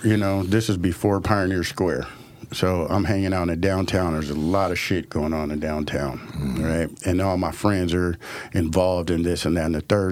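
A man speaks at a fairly quick pace in a very deep, low voice. Noticeable background noise runs behind him. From Portland, Oregon (Northeast Portland). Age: 50s. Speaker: restaurant owner and music producer. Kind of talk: casual interview chat. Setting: studio.

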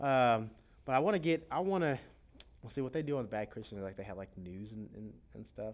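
A man talks at a fairly quick pace with medium pitch, lively intonation and big swings in loudness, in an unremarkable speaking voice. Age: 20s. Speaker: podcast host. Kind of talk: casual chat.

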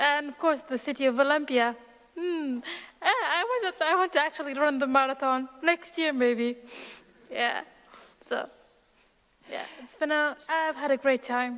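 With noticeable background noise behind her, a woman speaks at a fairly slow pace in a high pitch with ordinary pitch variation. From Syria (Aleppo region). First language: Arabic. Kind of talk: personal testimony.

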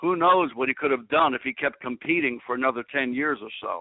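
Here a man with a plain, everyday voice speaks fairly quickly. His pitch varies in an ordinary way. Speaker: strength coach and radio host. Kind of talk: interview.

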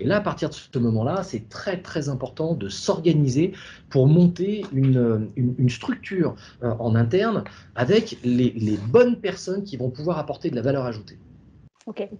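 Somewhat breathy with a dark, mellow tone, a man speaks at a moderate pace in a fairly high pitch with very wide swings. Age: 40s. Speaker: app founder, former executive. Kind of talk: interview. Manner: halting, many repetitions.

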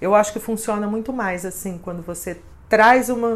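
A woman's fairly high voice, an ordinary speaking voice, keeps a moderate pace and shows ordinary pitch variation. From interior of São Paulo state, Brazil. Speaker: social media influencer and consultant. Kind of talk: interview.

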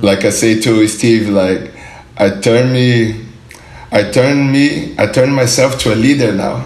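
Noticeable background noise surrounds a man with a Portuguese accent. His medium-pitched voice moves at a fairly slow pace with ordinary pitch variation. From southern Brazil, Porto Alegre. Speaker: pro skateboarder. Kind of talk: interview. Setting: studio.

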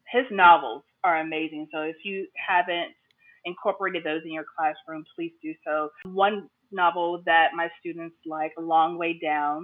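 Over music in the background, a woman with a fairly low voice speaks fairly slowly with fairly even intonation. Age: 40s. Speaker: middle school English teacher. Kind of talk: interview.

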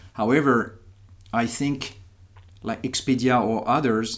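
In a French accent, a man speaks at a medium pitch. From France. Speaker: podcast host and company founder. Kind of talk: podcast interview. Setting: trade fair in Berlin.

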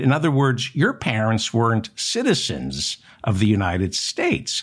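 Someone with an American accent speaks at a fairly slow pace. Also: man. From New Jersey. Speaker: political talk show host. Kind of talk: news commentary monologue.

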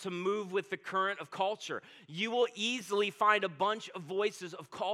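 Someone is reading aloud in a natural voice. Pitch movement remains fairly even.

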